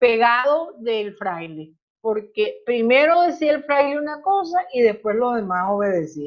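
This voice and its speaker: At a fairly slow pace, a high-pitched woman speaks with very wide pitch swings. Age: 70s. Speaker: Secular Franciscan leader giving a talk. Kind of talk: talk answering questions in a group meeting.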